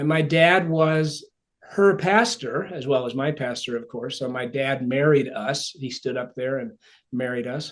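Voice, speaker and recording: With an upstate New York accent, a man talks at a fairly slow pace. His pitch is fairly high, with ordinary pitch variation. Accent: American (upstate New York). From upstate New York (Ithaca). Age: 60s. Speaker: author and speaker. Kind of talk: podcast interview. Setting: podcast recording.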